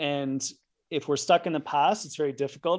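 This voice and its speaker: A plain, everyday voice from a man, fairly high-pitched, at a moderate pace with fairly even intonation, against a quiet background. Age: 50s. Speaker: sleep and performance scientist. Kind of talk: interview.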